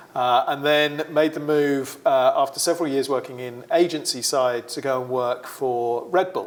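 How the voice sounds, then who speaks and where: This man has a British accent and a medium pitch. His intonation stays fairly even. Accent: British, often mistaken for Australian. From UK. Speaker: sports marketing executive. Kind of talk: interview.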